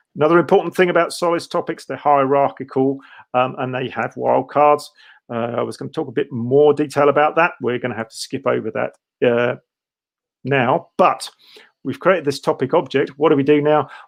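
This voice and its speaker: The speaker has vocal fry, a fairly quick pace and fairly even intonation. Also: man, fairly high pitch for a man. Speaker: developer advocate. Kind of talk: live coding tutorial. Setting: live stream. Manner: fast.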